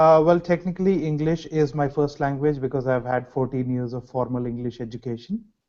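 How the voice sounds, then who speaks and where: A man with a Telugu accent talks at a fairly quick pace in a fairly high pitch. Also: ordinary pitch variation, hardly any pauses. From India, Hyderabad. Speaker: graduate student researcher. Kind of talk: interview.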